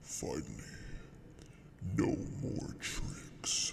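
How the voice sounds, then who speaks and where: Someone whispers in a put-on character voice. Background noise is clearly present. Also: man. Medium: audio drama. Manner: grave, commanding.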